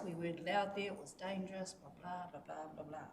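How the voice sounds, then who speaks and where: Audible room echo and noticeable background noise around a woman's speech. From New Zealand, Gisborne (Kaiti). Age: 60s. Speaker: community representative speaking at public input. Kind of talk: public submission to council. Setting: council meeting chamber. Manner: halting, with repetitions.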